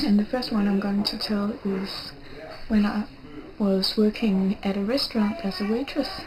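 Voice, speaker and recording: Soft-spoken and fairly high-pitched, a woman talks at a fairly slow pace over noticeable background noise. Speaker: video blogger. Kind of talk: casual vlog monologue. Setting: vacation house with family. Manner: soft-spoken, speaking quietly.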